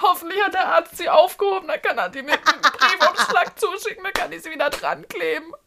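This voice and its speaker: A woman with an extremely high pitch speaks at a fairly quick pace with lively intonation. Her voice is raised and projected, with big swings in loudness. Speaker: podcast co-host and actress. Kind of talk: casual chat. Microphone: new voice microphone.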